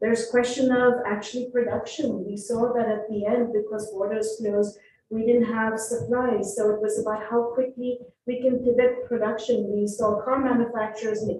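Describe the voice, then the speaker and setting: Her pitch fairly high, a woman speaks in a monotone, flat intonation. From India. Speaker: professor and panelist. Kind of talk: panel discussion. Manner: fast.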